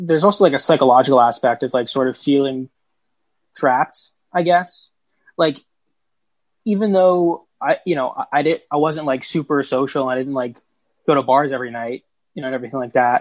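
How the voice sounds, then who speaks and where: In a dry, close sound with no echo, a man with a fairly high pitch talks at a fairly quick pace with ordinary pitch variation, leaving long, frequent pauses. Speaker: entertainment news panelist. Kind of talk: casual roundtable chat. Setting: video call.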